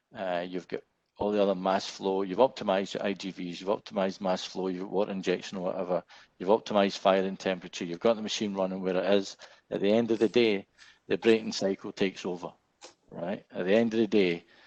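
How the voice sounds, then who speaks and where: A man speaks very fast in a fairly low, monotone voice with flat intonation. The sound is dry and close, with no echo. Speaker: gas turbine engineer. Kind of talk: webinar Q&A. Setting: webinar.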